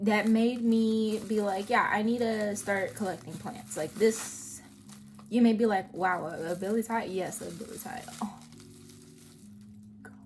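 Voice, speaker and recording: A woman with a fairly high pitch and fairly even intonation speaks at a fairly slow pace with long, frequent pauses and big swings in loudness. There is audible room echo and noticeable background noise. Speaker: plant hobbyist vlogger. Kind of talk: casual vlog. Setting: outdoors.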